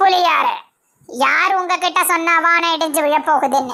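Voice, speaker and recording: A woman speaks in a cartoonish character voice. It is squeaky and extremely high-pitched. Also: fairly slow pace. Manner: commanding, measured.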